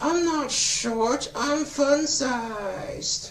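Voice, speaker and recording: A high-pitched put-on character voice over clear background noise. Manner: poorly thrown doll voice.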